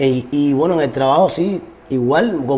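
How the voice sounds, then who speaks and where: A man's voice at a moderate pace with ordinary pitch variation. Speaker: guest. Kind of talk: interview answer. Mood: warm, grateful. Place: shop.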